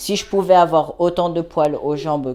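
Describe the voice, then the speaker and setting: In a very clean recording with a silent background, a man talks at a moderate pace. His tone is dark and mellow, his intonation fairly even. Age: 20s. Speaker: vlogger. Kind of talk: video diary. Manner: casual, hesitant with fillers.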